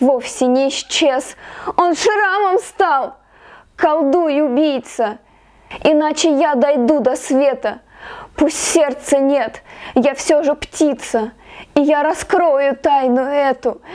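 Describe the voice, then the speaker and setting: Speaking at a very slow pace with long, frequent pauses, a woman keeps a very even loudness, her high pitch showing ordinary variation. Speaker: poet. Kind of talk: poetry reading. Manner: emotional, expressive.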